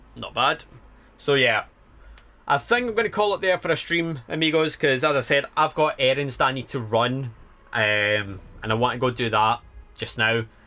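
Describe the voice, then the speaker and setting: A man with a Scottish accent speaks at medium pitch and a moderate pace, with long, frequent pauses. His tone is bright and sharp, his intonation lively. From Scotland. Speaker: streamer. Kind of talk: casual livestream chat.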